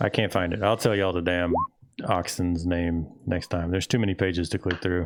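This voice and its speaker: A man with a Southern US accent mumbles in a very deep, low voice, his loudness very even and his intonation flat and monotone. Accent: southern drawl. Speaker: game master. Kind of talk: casual chat. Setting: live stream. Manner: mumbling.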